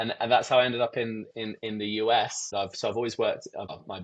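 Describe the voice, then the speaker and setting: Moving at a fairly quick pace, a man speaks with an English accent. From England, Hertfordshire. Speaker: events company president. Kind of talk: podcast interview. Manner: hesitant, many repeated words.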